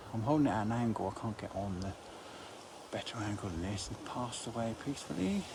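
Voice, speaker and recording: A man races along at a very fast pace, with audible room echo and noticeable background noise in the recording. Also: fairly low pitch for a man, ordinary pitch variation. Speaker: graveyard vlogger. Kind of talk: walking vlog, reading gravestones. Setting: outdoors in a churchyard. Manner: quiet, hushed.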